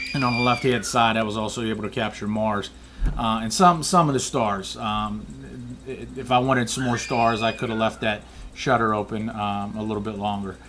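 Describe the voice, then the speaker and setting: This man's voice sits at a medium pitch, his delivery moderately paced. His intonation is fairly even, with noticeable noise in the background. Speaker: amateur photographer. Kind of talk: casual tutorial. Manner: monotone; hesitant, many fillers.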